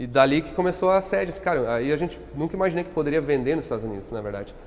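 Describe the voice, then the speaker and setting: A man with a fairly high pitch rushes along at a very fast pace, his intonation lively and his loudness swinging widely. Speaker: company founder. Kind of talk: podcast interview. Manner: hesitant, many fillers.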